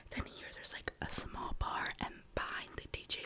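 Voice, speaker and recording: Noticeable background noise fills the clip. Over it, a woman whispers. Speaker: ASMR creator. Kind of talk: ASMR whisper ramble, casual talk to camera. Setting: close microphone at home studio. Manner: whispered, close-mic, chatty.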